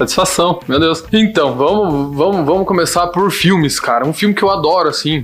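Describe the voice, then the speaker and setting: With noticeable background noise, a high-pitched man talks at a moderate pace with very even loudness, ordinary pitch variation and hardly any pauses. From Paraná, Brazil. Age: 20s. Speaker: bakery business owner. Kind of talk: casual podcast interview. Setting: studio.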